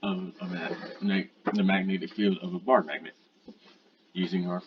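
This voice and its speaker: The man's voice sits very deep and low, with ordinary pitch variation. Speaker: student. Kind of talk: lab presentation. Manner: halting.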